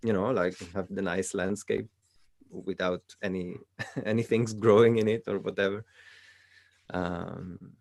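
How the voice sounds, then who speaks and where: A man with a Swiss Italian accent, fairly low-pitched, at a moderate pace, monotone and flat in intonation, with a dry, close sound and no echo. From Italian-speaking Switzerland. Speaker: coaching client and channel host. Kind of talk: coaching session. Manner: halting.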